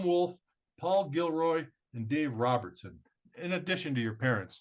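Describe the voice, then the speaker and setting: Lively intonation marks this man's fairly high-pitched delivery. He uses an ordinary speaking voice at a moderate pace. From Southern California. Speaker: podcast host. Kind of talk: scripted introduction; interview.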